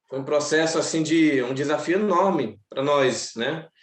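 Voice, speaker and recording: A man speaks with ordinary pitch variation. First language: Macuxi (speaking Portuguese). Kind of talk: seminar panel talk. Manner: halting.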